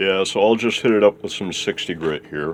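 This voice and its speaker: A man's voice amid noticeable background noise. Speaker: woodworking video maker. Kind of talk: casual workshop tutorial. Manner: casual, rambling.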